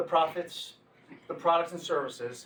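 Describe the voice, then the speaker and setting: Over noticeable background noise, a man talks at a high pitch. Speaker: motivational speaker on leadership. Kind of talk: talk to business audience. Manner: fast; animated.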